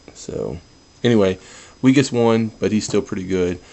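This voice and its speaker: This man's voice sits at a fairly low pitch. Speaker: toy collector video reviewer. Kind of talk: product review. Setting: at home, others asleep in house. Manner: subdued, low-key delivery; kept quiet, soft.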